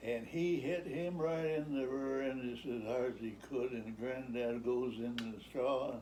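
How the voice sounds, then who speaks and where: The speech moves at a fairly slow pace with hardly any pauses and ordinary pitch variation. Noticeable background noise and audible room echo are present. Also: man, medium pitch for a man. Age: 90s. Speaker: retired farmer. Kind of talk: storytelling. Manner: halting.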